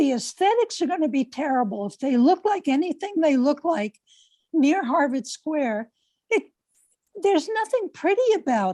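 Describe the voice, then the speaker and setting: A woman speaks at a high pitch with a dark, mellow tone and very wide pitch swings. The sound is dry and close with no echo. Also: moderate pace. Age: 70s. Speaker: public commenter at city meeting. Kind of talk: public comment.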